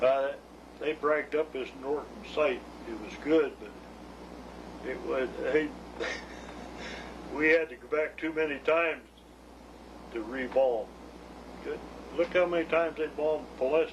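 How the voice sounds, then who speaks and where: Noticeable background noise sits behind a man with an American accent and a fairly high pitch. He talks at a moderate pace with fairly even intonation, big swings in loudness and long, frequent pauses. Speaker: war veteran. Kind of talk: interview answer.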